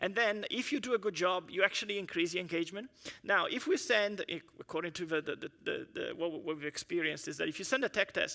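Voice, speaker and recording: A man speaks at a very fast pace with hardly any pauses, his voice raised and projected in a high pitch. His tone is bright and sharp, with lively intonation. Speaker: engineering manager giving a conference talk. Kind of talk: conference presentation.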